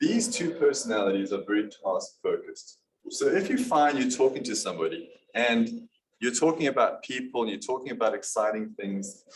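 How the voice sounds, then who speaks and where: In a South African accent, a man speaks at a fairly quick pace. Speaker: business presenter. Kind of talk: business presentation.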